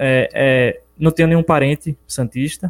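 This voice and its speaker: A man's voice, fairly high in pitch. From Brazil, Bahia interior (Capim Grosso). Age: 20s. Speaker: personal trainer and book co-author. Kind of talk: casual interview. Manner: hesitant with filler 'é'.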